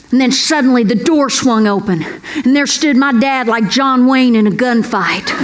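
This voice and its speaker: Noticeable background noise and audible room echo surround a woman speaking at a high pitch and a moderate pace with ordinary pitch variation. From Kentucky. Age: 60s. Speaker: comedian. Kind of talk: stand-up. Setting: stage with audience. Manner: animated.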